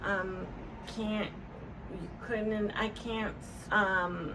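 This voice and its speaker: A woman talks at a very slow pace with monotone, flat intonation. Noticeable background noise and audible room echo are present. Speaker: stroke survivor with aphasia, vlogger. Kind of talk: personal testimony to camera. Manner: slow, halting with many fillers; word-finding pauses and repetitions.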